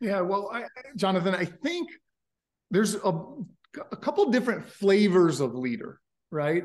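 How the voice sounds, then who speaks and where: With a New York accent, a man speaks in an energetic tone with lively intonation and a high pitch. His pace is moderate, broken by long, frequent pauses. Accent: American, New York. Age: 40s. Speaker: company founder and CEO. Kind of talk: interview.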